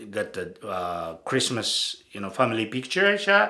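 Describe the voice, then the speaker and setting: A man speaks with a strong Japanese accent at a fairly slow pace. His tone is bright and sharp. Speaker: bodybuilding photographer and channel host. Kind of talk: casual monologue. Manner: halting, many fillers.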